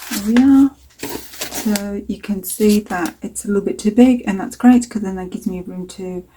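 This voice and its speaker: Medium in pitch, this woman talks at a moderate pace with ordinary pitch variation. Her loudness swings widely, and background noise is noticeable. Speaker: mixed media artist. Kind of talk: tutorial. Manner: casual, hesitant with many fillers.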